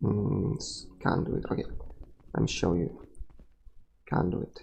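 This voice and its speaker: A man with a non-native accent at a very slow pace. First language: not English. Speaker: gaming streamer. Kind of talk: live game commentary. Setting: live stream.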